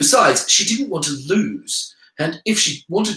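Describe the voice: The delivery is plain reading aloud.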